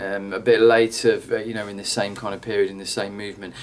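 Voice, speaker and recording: Amid noticeable background noise, a man speaks fairly quickly at a medium pitch with monotone, flat intonation. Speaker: drama teacher. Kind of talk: tutorial. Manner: fast; halting, many fillers.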